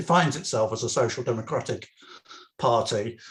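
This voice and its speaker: This man speaks with an English accent. His pitch is medium and his pace moderate. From England. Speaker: political activist. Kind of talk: political talk at online meeting. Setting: video call. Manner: halting, many fillers and restarts.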